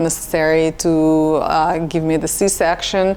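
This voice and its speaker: A woman speaks with a Russian accent at a fairly low pitch. Her intonation is monotone and flat, with noticeable background noise behind her. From Russia, Samara. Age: 40s. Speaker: nurse. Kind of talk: casual chat.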